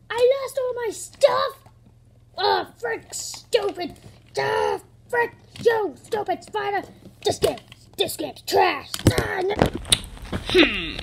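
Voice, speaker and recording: A cartoonish character voice speaks at an extremely high pitch and a very slow pace. It leaves long, frequent pauses. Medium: puppet. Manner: whiny, frustrated.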